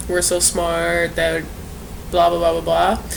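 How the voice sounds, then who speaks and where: With noticeable background noise and audible room echo, a woman talks in an American accent. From US Midwest, St. Louis area, Missouri. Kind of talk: casual vlog introduction. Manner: hesitant, frequent fillers.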